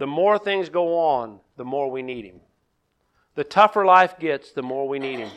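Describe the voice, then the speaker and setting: A man projects his raised voice. The tone is bright and sharp. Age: 50s. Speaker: pastor. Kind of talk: sermon. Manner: halting.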